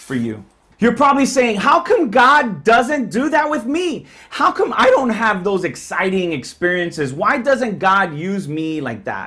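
Against a quiet background, a man projects a raised voice at a fairly slow pace, his pitch swinging very widely. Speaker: pastor. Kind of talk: sermon. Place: home room.

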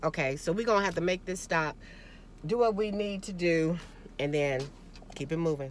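A woman speaks in a dry sound with no echo over light background noise. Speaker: vlogger. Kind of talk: casual vlog chat. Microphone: phone near.

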